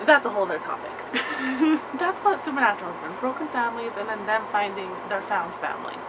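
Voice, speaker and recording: The speaker sounds animated, with lively intonation, amid noticeable background noise and audible room echo. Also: woman. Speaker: vlogger reviewing a TV show. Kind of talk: casual vlog review. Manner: fast.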